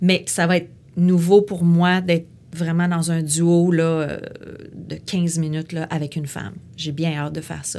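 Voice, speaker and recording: With a Quebec accent, a woman speaks in a fairly low voice with a dark, mellow tone. Her intonation is monotone and flat, and her pace is fairly slow. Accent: Québécois French. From Quebec City. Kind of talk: interview. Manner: halting.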